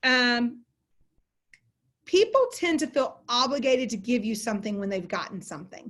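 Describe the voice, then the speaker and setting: The speech comes in a Southern US accent at a moderate pace. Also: woman. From Texas. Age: 40s. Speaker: continuing education instructor, closing attorney. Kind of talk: online lecture.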